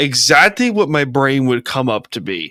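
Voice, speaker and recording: A man talks in an American accent. The tone is bright and sharp. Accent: slight Long Island accent, occasional. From Long Island, New York. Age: 20s. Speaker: podcast host. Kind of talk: casual interview chat.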